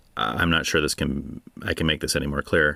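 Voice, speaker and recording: A man talks at a fairly quick clip with a Californian accent, his tone bright and sharp with vocal fry. The sound is dry and close, with no echo. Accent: California. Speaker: podcast host. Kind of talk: solo Q&A monologue.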